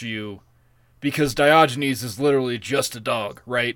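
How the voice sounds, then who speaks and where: A man's normal speaking voice, fairly high in pitch, with ordinary pitch variation and a moderate pace on a very clean recording with a silent background. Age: 30s. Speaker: podcast co-host. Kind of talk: casual chat.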